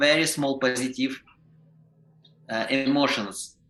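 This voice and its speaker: A man with a non-native accent speaks at a fairly slow pace. His medium-pitched voice has a bright, sharp tone. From Ukraine. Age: 50s. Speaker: professional clown and teacher. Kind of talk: podcast interview. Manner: halting, with many restarts.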